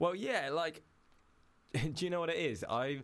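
Speaking at a fairly slow pace, a man has a fairly high pitch, lively intonation and a fairly bright tone.

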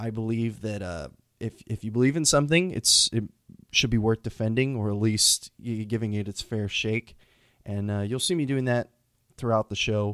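With an American accent and an ordinary speaking voice, a man speaks at a moderate pace and medium pitch with ordinary pitch variation, in a very clean recording with a silent background. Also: dry, close sound with no echo. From Texas, Houston. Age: 20s. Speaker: podcast host. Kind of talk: unscripted solo monologue. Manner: casual with frequent fillers.

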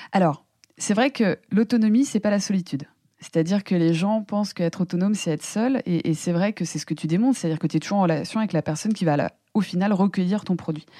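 Recorded very cleanly against a silent background, a woman's dark, mellow voice has a dry, close sound with no echo. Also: medium pitch for a woman, ordinary pitch variation. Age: 30s. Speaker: computational scientist and entrepreneur. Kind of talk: casual interview. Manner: halting, many fillers and repetitions.

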